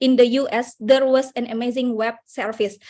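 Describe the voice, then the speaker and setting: Against a quiet background, a woman with an Indonesian accent speaks at a moderate pace in a high pitch with fairly even intonation. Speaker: conference participant. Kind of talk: audience question. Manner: halting.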